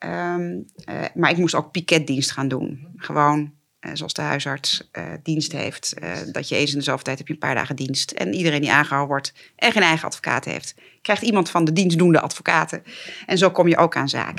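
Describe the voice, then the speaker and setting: A woman speaks at a moderate pace with a very deep, low pitch, vocal fry and ordinary pitch variation. The recording is very clean with a silent background. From Netherlands, Twente (Borne). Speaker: judge, former defense lawyer. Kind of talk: interview conversation. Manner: hesitant with fillers and repetitions.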